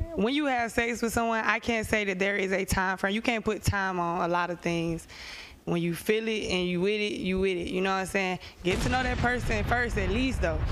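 At a fairly quick pace, a woman with an unremarkable speaking voice talks at a medium pitch with ordinary pitch variation. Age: 20s. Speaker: dancer and musician. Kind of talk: heated panel debate.

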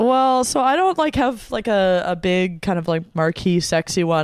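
In a very clean, silent recording with a dry, close sound and no echo, a woman with an American accent uses an ordinary speaking voice, fairly low in pitch, at a moderate pace. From US Midwest, Wisconsin. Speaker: podcast guest. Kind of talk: casual chat. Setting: studio.

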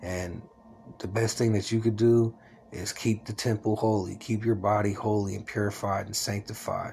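A man speaks at a moderate pace in a fairly low pitch with a dark, mellow tone. His voice is somewhat breathy and his intonation monotone and flat. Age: 40s. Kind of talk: personal religious monologue. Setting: at home, solo recording. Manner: rambling casual with fillers.

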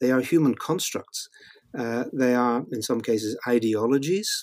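A man speaks with a Northern Irish accent at a medium pitch. The sound is dry and close, with no echo. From Northern Ireland. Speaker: Old Testament scholar and author. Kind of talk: interview conversation. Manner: halting, frequent repetitions.

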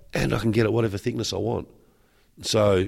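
Fairly low in pitch, a man talks with an Australian accent and vocal fry. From Western Australia. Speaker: surfboard builder and entrepreneur. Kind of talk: interview. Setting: trade show.

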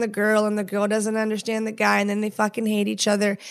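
A woman talks at a fairly high pitch. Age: 30s. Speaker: podcast host, wife and mother. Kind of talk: casual chat.

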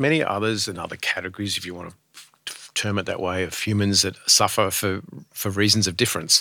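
Fairly low in pitch and bright and sharp in tone, a man talks at a fairly quick pace with an Australian accent. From rural Australia. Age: 50s. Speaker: charity board chair. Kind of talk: casual chat. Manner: halting.

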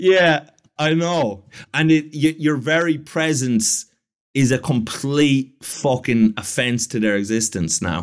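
Lively intonation marks a man's fairly high voice as he speaks at a very slow pace. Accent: Irish. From Ireland. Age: 30s. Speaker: comedian. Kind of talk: casual chat.

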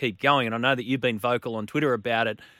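In a very clean recording with a silent background, a man at medium pitch speaks with a bright, sharp tone and an Australian accent. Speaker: sports radio host. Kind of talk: radio talk show.

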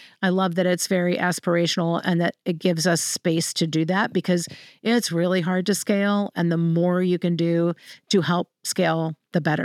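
Recorded very cleanly with a silent background and a dry, close sound with no echo, a woman with a plain, everyday voice talks at a fairly quick pace and a very even loudness. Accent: American. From Central Virginia, US. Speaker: clean energy policy consultant. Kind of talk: podcast interview.

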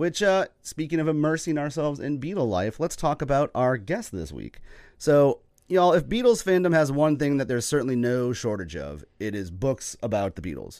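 A man talks in a fairly high pitch with very wide pitch swings. The recording is very clean, with a silent background. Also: moderate pace. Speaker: podcast host. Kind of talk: casual chat.

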